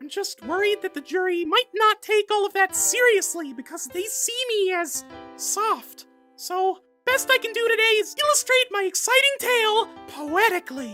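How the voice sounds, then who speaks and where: A squeaky, cartoonish character voice at an extremely high pitch moves at a moderate pace, with faint music in the background. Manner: earnest, stumbling.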